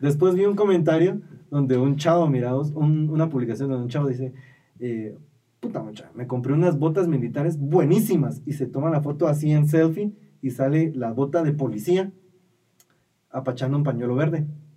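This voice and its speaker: There is audible room echo as a man with a fairly high pitch and a dark, mellow tone talks at a moderate pace with ordinary pitch variation. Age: 20s. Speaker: podcast co-host. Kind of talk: casual chat.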